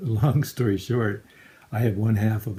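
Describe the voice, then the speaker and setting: This man's voice is fairly low and somewhat breathy, with a dark, mellow tone. His intonation stays fairly even. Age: 60s. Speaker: cancer patient. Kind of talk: appeal for crowdfunding. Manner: halting.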